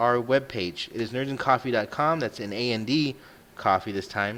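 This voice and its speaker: A man's unremarkable speaking voice, lively in intonation and medium in pitch. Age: 30s. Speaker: podcast host. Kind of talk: casual chat.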